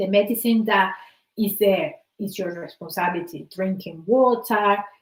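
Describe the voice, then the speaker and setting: A somewhat breathy woman with a Spanish accent talks at medium pitch and a fairly slow pace. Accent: Spanish-accented English, noticeable. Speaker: wellbeing coach. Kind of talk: motivational talk.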